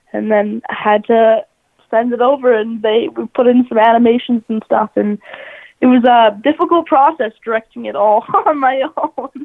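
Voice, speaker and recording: A woman with a Canadian accent has a normal speaking voice, fairly high in pitch, with ordinary pitch variation at a moderate pace. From Canada. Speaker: pop singer and dancer. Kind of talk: interview.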